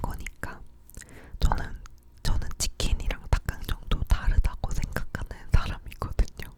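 There is noticeable background noise as a woman whispers, her words coming at a very slow pace. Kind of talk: ASMR whispered chatting about recent life. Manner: whispered, close-up, soft.

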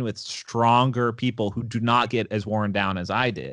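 With a quiet background and a dry, echo-free sound, a man is talking. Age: 20s. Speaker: jiu-jitsu competitor and gym owner; podcast guest. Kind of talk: casual chat; interview answer. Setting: podcast interview.

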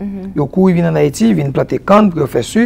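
A man speaks in a fairly high voice with very wide pitch swings. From Haiti. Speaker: agronomist and environmental specialist; guest. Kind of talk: TV interview. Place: studio. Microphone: lapel.

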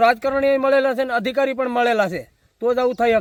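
Fairly even in intonation, a man speaks with an extremely high pitch. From Saurashtra, Gujarat (Una, Gir Somnath). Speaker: village local party leader and protester. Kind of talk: interview.

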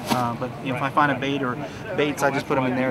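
Loud background noise accompanies a man who speaks at a very fast pace. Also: dry sound with no echo. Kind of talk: casual show-and-tell tour. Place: hall.

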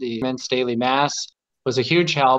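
Against a quiet background, a medium-pitched man with an American accent talks fairly slowly in a monotone, flat delivery. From US Midwest, Omaha Nebraska; Nebraska. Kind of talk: casual chat. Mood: warm, reflective. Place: home room. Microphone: video call.

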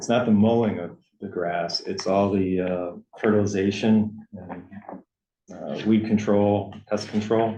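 A man with a dark, mellow tone speaks fairly slowly in a flat monotone, his loudness swinging widely amid audible room echo. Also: fairly low pitch for a man. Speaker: town first selectman chairing board meeting. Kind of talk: town board meeting discussion.

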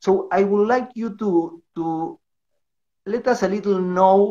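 A high-pitched man's voice in a Spanish accent, with ordinary pitch variation and a quiet background. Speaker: livestream host and interviewer; livestream host, interviewer. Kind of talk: livestream interview. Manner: halting in English. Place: home room. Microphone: video call.

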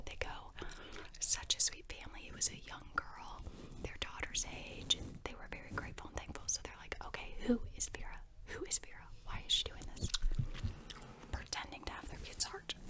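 A woman whispers, leaving long, frequent pauses. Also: moderate pace. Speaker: ASMR creator. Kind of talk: ASMR movie review. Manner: casual, chatty. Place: home room. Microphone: studio mic.

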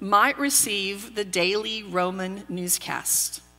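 A woman is speaking. She has a slight Texas accent. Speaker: pastor. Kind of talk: sermon. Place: church.

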